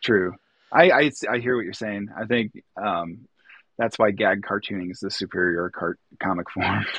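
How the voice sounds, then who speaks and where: Speaking in a Chicago accent, a man uses fairly low pitch with ordinary variation. His pace is moderate, and his loudness swings widely. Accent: US Midwest (Chicago area). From northern Illinois (Lake County). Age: 40s. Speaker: illustrator and artist. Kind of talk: casual chat.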